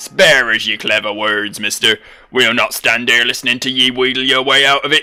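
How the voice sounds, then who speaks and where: Putting on a character voice in a West Country accent, a man speaks at medium pitch and a moderate pace as faint music plays in the background. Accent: pirate, West Country. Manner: gruff, impatient.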